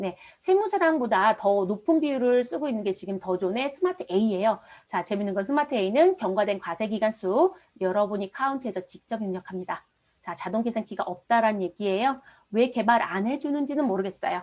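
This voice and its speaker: With a normal speaking voice, this woman talks at a fairly quick pace, her fairly high pitch rising and falling in lively intonation. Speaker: accounting and tax instructor. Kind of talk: lecture. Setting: online live class recording. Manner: engaging, frequent rhetorical questions to students.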